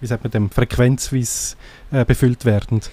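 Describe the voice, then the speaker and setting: A man's dark, mellow tone at a medium pitch, with monotone, flat intonation. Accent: Graubünden Swiss. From Graubünden, eastern Switzerland. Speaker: blogger and podcaster. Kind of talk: interview.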